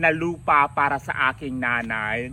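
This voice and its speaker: With a bright, sharp tone and ordinary pitch variation, a man speaks in a very clean recording over a silent background. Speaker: vlogger. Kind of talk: vlog monologue. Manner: animated.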